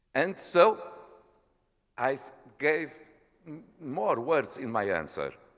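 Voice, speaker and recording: Very slowly, a man with a fairly high pitch and vocal fry speaks in very wide pitch swings. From Portugal. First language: Portuguese. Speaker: parliamentarian. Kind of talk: formal speech. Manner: halting.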